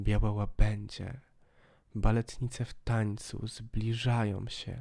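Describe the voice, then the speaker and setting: A man's somewhat breathy voice, very slow in pace and intense, dramatic in tone. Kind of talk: audiobook reading of a poetic text. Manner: dramatic, hushed, slow narration with lingering pauses; atmospheric, intense, building to a bleak, chilling end.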